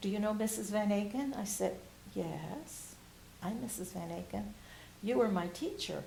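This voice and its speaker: A woman speaks at a moderate pace with long, frequent pauses, over noticeable background noise and audible room echo. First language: Spanish. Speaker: retired bilingual teacher. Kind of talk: oral history interview. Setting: university library, on camera.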